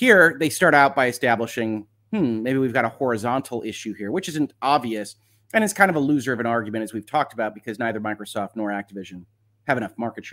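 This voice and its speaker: In a very clean recording with a silent background, a medium-pitched man talks at a very fast pace, with ordinary pitch variation and big swings in loudness. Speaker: lawyer and legal commentary host. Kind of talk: live stream commentary reading a legal document. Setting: live stream. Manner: quieter than usual; occasional coughing.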